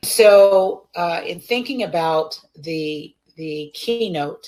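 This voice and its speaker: This woman's voice sits at a fairly low pitch with ordinary pitch variation. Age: 60s. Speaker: preacher and keynote speaker. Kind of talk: keynote address. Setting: virtual summit video call.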